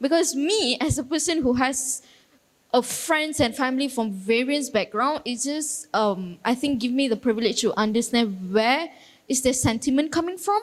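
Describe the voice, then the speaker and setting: A woman talks at a moderate pace in a high pitch. Her intonation is lively. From Malaysia. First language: Tamil. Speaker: youth council representative. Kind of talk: panel discussion.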